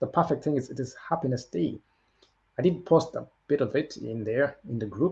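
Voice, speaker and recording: The intonation is lively and the delivery somewhat breathy. The tone stays dark and mellow. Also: man, fairly high pitch for a man. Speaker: motivational livestream host. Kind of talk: motivational livestream talk. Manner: fast; animated.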